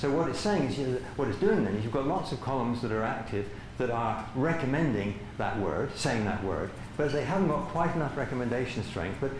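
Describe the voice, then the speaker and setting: A man speaks at a very fast pace with very wide pitch swings, the recording carrying audible room echo and noticeable background noise. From Britain. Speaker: visiting lecturer, cognitive science researcher. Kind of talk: academic talk Q&A. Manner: halting, many false starts.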